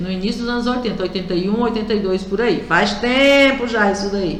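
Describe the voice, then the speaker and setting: A woman at medium pitch with ordinary pitch variation is heard through audible room echo and noticeable background noise. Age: 60s. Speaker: radio host, union representative. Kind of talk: radio talk show commentary. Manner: conversational, direct address to listeners.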